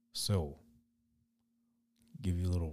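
Very deep and low, this man's voice has a dark, mellow tone. It sounds somewhat breathy. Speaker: podcast host and spray paint artist. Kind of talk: casual solo podcast monologue. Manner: free-flowing, rambling pace.

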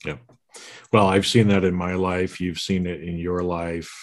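His intonation is fairly even. The man's pitch is very deep and low. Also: quiet background. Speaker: podcast host and executive coach. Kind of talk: casual chat. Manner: halting, repeats words.

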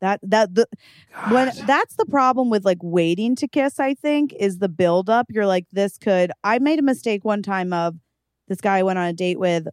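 Animated, lively woman's voice at a medium pitch and moderate pace, in a dry, close sound with no echo. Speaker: podcast co-host. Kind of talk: casual comedic chat. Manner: animated, joking.

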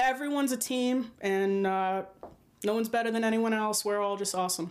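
A woman with a strong Rhode Island accent speaks at a fairly quick pace and a fairly high pitch. Her loudness stays very even, and her intonation is fairly even. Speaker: film producer and actor. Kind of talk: casual interview.

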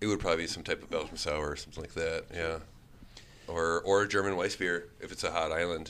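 Very fast and monotone, a man with an American accent speaks in a very deep, low pitch. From Wisconsin, Milwaukee area. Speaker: brewery owner and brewer. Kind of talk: casual interview.

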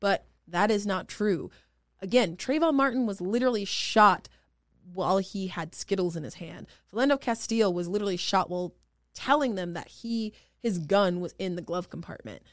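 A normal speaking voice with lively intonation and big swings in loudness, at a moderate pace. The recording is very clean, with a silent background. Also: woman, medium pitch for a woman. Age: 20s. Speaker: state senator. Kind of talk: podcast interview.

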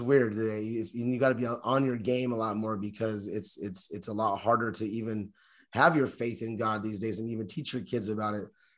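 Against a quiet background, a man of medium pitch talks at a fairly quick pace with fairly even intonation. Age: 40s. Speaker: podcast co-host. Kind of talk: casual chat. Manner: halting, frequent word repetition.

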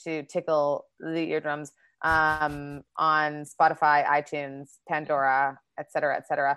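Against a quiet background, a woman speaks in a Manitoban accent. Her tone is energetic and her pitch very deep and low. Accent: Canadian (Manitoba). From Canada, Winnipeg. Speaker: comedian and actor. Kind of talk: casual interview chat.

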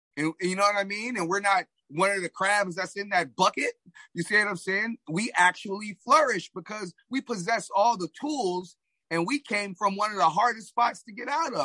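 A man with a high, bright, sharp voice projects loudly at a moderate pace. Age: 40s. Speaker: track coach and masters sprinter. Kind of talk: casual interview chat. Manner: halting, frequent repetitions.

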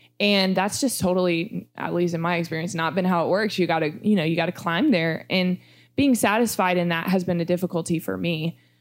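Fairly low in pitch, a woman talks at a fairly quick pace in a very clean recording with a silent background. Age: 20s. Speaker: children's ministry director. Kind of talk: casual chat. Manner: animated; loud.

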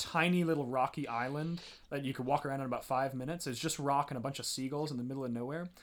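A man with a normal speaking voice, fairly high in pitch, with ordinary pitch variation. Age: 20s. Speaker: podcast co-host. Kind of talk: casual chat. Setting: studio.

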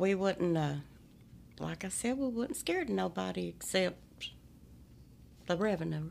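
The speaker has an Appalachian accent and keeps a moderate pace. Long pauses come often. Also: woman. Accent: Appalachian twang. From Appalachia, eastern Kentucky hollers. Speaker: storyteller guest. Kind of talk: casual interview chat. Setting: studio.

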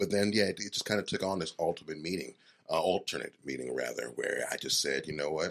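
This man speaks at a very fast pace in a very deep, low register. Vocal fry runs through his voice. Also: ordinary pitch variation. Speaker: voice actor and social media creator. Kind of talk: casual chat. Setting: studio. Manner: hesitant with fillers.

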